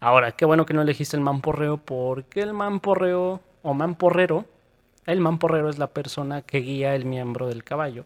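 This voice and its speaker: Speaking at a moderate pace with a Mexican accent, a man has a fairly high pitch and ordinary pitch variation, recorded dry and close with no echo. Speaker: podcast co-host. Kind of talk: casual chat.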